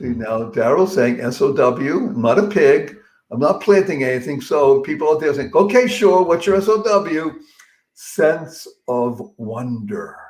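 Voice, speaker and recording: Very wide pitch swings from a male speaker. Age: 70s. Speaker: motivational speaker. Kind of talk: interview. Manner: animated.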